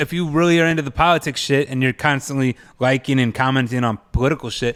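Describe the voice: Speaking at a fast pace, a man has a clear, smooth, fairly bright tone, medium pitch and fairly even intonation.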